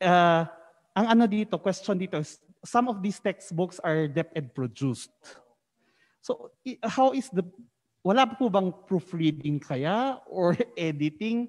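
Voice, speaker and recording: A man talks at a fairly slow pace with a high pitch and lively intonation. His pauses are long and frequent, and the background is quiet. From Philippines. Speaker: webinar moderator. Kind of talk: moderated webinar. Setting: conference hall, live stream. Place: hall. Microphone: handheld.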